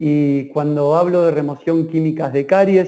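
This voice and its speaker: In an Argentine accent, a man with a fairly high pitch and a dark, mellow tone speaks at a moderate pace with fairly even intonation. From Argentina, Rosario. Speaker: dentist, lecturer. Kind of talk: online lecture. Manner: hesitant fillers.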